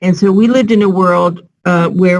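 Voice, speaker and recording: A normal speaking voice with an American accent, fairly even intonation and a moderate pace. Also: woman. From United States. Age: 60s. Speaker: civil society professional. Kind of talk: panel discussion.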